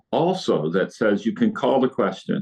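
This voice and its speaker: Male speech in an American accent, the pitch swinging very widely. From US Midwest (Indiana). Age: 60s. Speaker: state legislator, retired nurse. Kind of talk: interview. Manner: animated.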